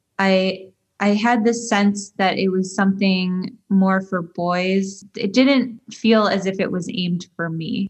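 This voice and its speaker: A somewhat breathy voice with an American accent, very slow yet with hardly any pauses, in fairly even intonation. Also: woman, medium pitch for a woman. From US Midwest, Detroit. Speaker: tech company CEO. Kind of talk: interview. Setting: remote call.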